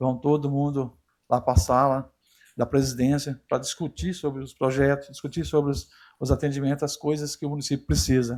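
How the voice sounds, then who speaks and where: This man talks fairly quickly in a fairly high voice with monotone, flat intonation. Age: 60s. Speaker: city councillor. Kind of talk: council floor speech. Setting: council chamber. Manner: halting, informal.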